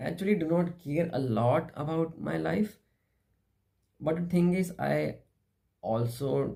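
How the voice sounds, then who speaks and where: A dark, mellow, somewhat breathy voice in an Indian accent, very slow, with very wide pitch swings. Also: man. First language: Hindi. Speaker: philosophy vlogger. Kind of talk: philosophical monologue. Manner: halting.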